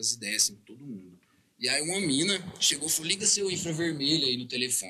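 Talking at a very fast pace, a man with a fairly high pitch and a bright, sharp tone shows very wide pitch swings and vocal fry. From Uberlândia, Minas Gerais, Brazil. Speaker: rapper. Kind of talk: casual interview chat.

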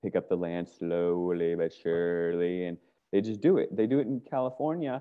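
This man has a normal speaking voice with a fairly low pitch. His pitch variation is ordinary. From US, Virginia (Fairfax County near Washington D.C.). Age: 40s. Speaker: activist. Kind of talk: casual chat.

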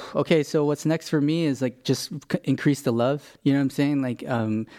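A fairly high-pitched man with an American accent and fairly even intonation, on a very clean recording with a silent background. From Los Angeles, US. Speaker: jiu-jitsu instructor and gym owner. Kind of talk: casual interview. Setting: gym.

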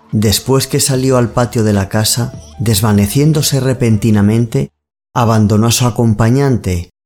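A man speaks with very even loudness. Music plays in the background. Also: medium pitch for a man, ordinary pitch variation. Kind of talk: ghost story narration. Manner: slow, hushed, suspenseful storytelling; measured, eerie, building tension.

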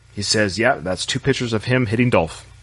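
A man talks at a fairly quick pace. His pitch varies an ordinary amount. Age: 40s. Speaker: podcast host. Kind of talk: solo monologue.

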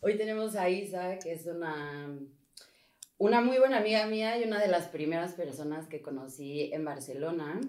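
In a normal speaking voice, a woman with a fairly low pitch speaks at a moderate pace with lively intonation. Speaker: podcast co-host. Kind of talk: casual interview conversation.

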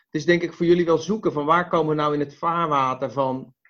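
A man with a normal speaking voice talks at a moderate pace, his pitch fairly high with ordinary pitch variation. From Westland, South Holland, Netherlands. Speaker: podcast host. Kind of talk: interview. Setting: video call.

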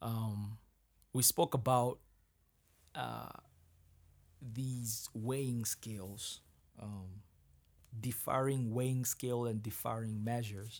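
Speaking in a Kenyan accent, this voice moves at a very slow pace with long, frequent pauses. The intonation is monotone and flat. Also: man, medium pitch for a man. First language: Kikuyu. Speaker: Bible podcast host. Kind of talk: Bible reading with commentary. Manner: halting; casual.

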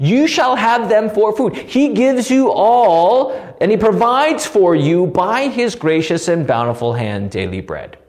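Lively intonation carries this fairly slow speech, which has hardly any pauses and noticeable background noise. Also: man, high pitch for a man. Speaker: pastor teaching Bible study. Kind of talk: Bible study lecture. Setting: recorded alone for online video. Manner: loud.

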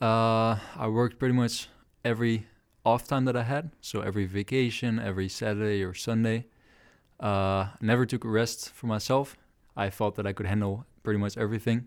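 A Dutch accent with fairly even intonation on a very clean recording over a silent background. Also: man, medium pitch for a man. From southern Netherlands, near Breda. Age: 20s. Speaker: guest sharing personal experiences. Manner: hesitant, many fillers.

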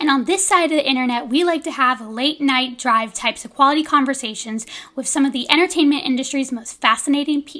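Very fast and high-pitched, a woman's raised, projected voice has a bright, sharp tone, ordinary pitch variation and big swings in loudness, in a very clean recording with a silent background. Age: 20s. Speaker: podcast co-host. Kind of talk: casual interview.

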